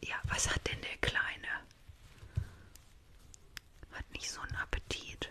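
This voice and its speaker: Whispering, a woman keeps to a fairly slow pace. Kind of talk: role-play vet consultation, soft ASMR-style talk. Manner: soft close ASMR speech. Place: home room. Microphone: studio mic.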